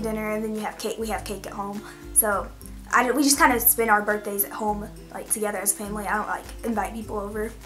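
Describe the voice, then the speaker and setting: A woman talking at a very fast pace with fairly even intonation, faint music in the background. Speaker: vlogger. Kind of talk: casual vlog chat. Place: home room. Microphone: phone near.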